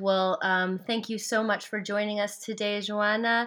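In a very clean recording with a silent background, a woman speaks at a medium pitch and a moderate pace. She has a plain, everyday voice. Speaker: podcast interviewer. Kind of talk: casual interview.

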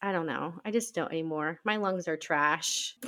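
Here is a woman with an American accent and a normal speaking voice. Her pitch is fairly low, with ordinary variation. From Nebraska. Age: 20s. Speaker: podcast co-host, stay-at-home mom. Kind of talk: casual chat.

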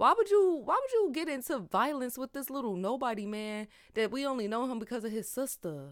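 A woman speaks at a fairly quick pace in a high pitch, her tone animated and her pitch swinging very widely. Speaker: podcaster and voiceover artist. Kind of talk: casual solo podcast chat. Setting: recording on a mic. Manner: animated, casual, chatty.

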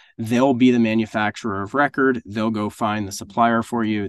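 A man's normal speaking voice at medium pitch and moderate pace, fairly even in intonation, with a dry, close sound with no echo and a quiet background. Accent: American. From US Northeast. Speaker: business operations director at a product development agency. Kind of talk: podcast interview.

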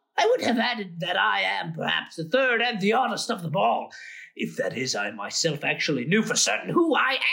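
A man does a put-on character voice, pitched high and moving at a fairly quick pace. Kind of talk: mock showman's spiel. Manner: playful, ironic, rambling.

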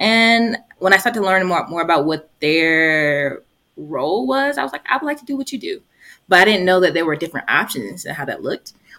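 Her tone is bright and sharp, with medium pitch and very wide pitch swings. The woman speaks in a Southern US accent at a fairly quick pace. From Georgia, US South. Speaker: family therapist and podcast co-host. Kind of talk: casual chat.

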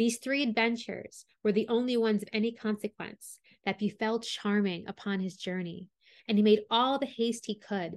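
This is a normal speaking voice at a moderate pace. The intonation is fairly even. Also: woman. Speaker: storyteller podcast host. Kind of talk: reading a fairy tale aloud as storytelling narration.

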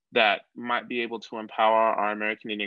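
This man has an ordinary speaking voice at a medium pitch. He goes at a moderate pace. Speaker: podcast host. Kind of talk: interview podcast conversation.

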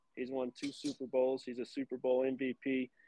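With a Texan accent, a man talks at a moderate pace. His pitch is medium. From South Texas. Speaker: cattle breeding business owner and podcaster. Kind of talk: casual interview.

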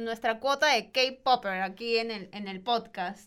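Here is an unremarkable speaking voice from a woman at a fairly high pitch. She keeps a moderate pace with ordinary pitch variation. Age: 20s. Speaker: podcast host, journalism student. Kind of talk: casual chat.

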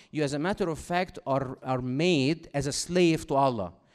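In an Egyptian accent, the speaker talks at a fairly slow pace with ordinary pitch variation. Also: man. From Egypt, Cairo. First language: Arabic. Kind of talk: talk to school audience. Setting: stage with audience. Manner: interactive, engaging.

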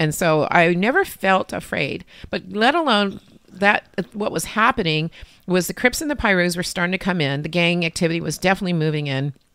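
An unremarkable speaking voice from a woman with an American accent and fairly low pitch. She talks at a fairly quick pace with ordinary pitch variation. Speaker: breast cancer survivor and adoptive mother. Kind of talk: interview testimony. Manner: chatty storyteller, laughs often.

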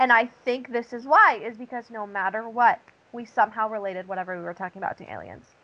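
Talking at a very fast pace, a woman has a fairly high pitch, a bright, sharp tone and ordinary pitch variation. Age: 20s. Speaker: podcast co-host. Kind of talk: casual chat.

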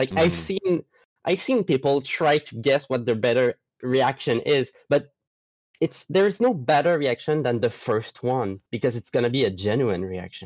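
In a Quebec accent, a man speaks at a medium pitch and moderate pace with lively intonation, the sound dry and close with no echo. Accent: Québécois French. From Quebec, Gaspé. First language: French. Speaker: artist and roleplayer. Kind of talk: casual chat.

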